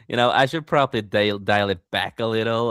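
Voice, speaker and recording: A man with a non-native accent at a fairly quick pace. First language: not English. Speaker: podcast host and author. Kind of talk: casual chat. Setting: live stream. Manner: fast.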